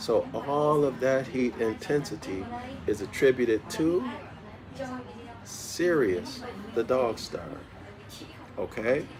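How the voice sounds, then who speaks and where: Soft-spoken, at a medium pitch and a very slow pace, a man uses lively intonation with long, frequent pauses over noticeable background noise. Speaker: study group teacher. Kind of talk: lecture. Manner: repetitive.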